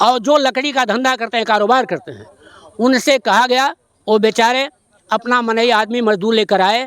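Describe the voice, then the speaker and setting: A man speaks with fairly even intonation at an extremely high pitch, the sound dry and close with no echo. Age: 70s. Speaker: retired headmaster, local villager. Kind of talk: on-the-spot news interview. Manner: formal.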